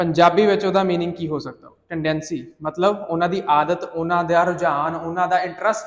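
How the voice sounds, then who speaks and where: Speaking with a Punjabi accent, a man uses a high pitch and fairly even intonation, with hardly any pauses. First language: Punjabi (speaking Hindi). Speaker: IELTS teacher. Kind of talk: lecture.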